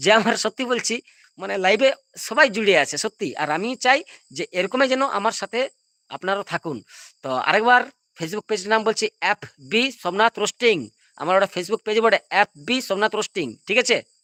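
Raised and projected, this man's voice sits at a high pitch with a bright, sharp tone and ordinary pitch variation. The sound is dry and close with no echo, on a very clean recording with a silent background. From India, West Bengal, Purulia. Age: 30s. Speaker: live streamer. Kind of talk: casual live stream chat. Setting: live stream. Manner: repetitive, rambling.

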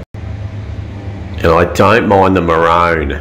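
A man's voice is heard. It sits very deep and low in pitch. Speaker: travel reviewer. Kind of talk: casual vlog chat. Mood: playful, humorous. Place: bathroom. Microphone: phone near.

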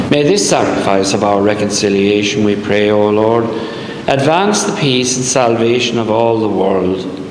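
A man's fairly low voice at a moderate pace, with fairly even intonation and very even loudness, plus light background noise and audible room echo. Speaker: priest. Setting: church. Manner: solemn, reverent, fervent prayer in a measured liturgical cadence. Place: church. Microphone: camera far.

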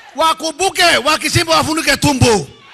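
A man's voice rings out at an extremely high pitch, raised and projected. His tone is animated, and his pace is moderate. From Kenya. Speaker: politician. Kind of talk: political rally speech. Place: hall. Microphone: podium.

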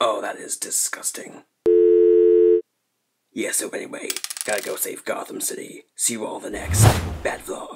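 A man's cartoonish character voice at an extremely high pitch, moderate pace, with long, frequent pauses. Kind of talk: parody vlog to camera.

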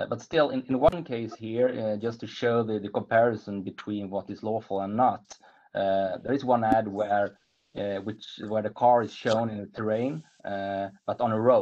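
A man in a Swedish accent speaks at a fairly slow pace and a medium pitch. His intonation is fairly even, and the background is quiet. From Sweden. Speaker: lawyer, panelist. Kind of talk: webinar presentation. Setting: video call. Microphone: video call.

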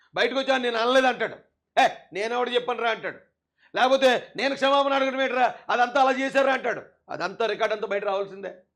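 A man speaks at an extremely high pitch against a quiet background. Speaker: political activist. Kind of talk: political rant. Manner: animated.

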